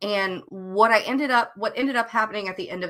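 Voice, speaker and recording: With an American accent, a woman speaks in a bright, sharp tone. Her intonation is lively. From US South. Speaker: novelist co-hosting writing sprints. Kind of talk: casual livestream chat. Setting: live stream.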